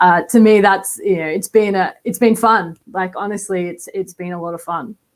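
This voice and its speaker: With an Australian accent, a woman speaks at a medium pitch. Her pace is moderate and her intonation fairly even. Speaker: college football quarterbacks coach. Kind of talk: podcast interview.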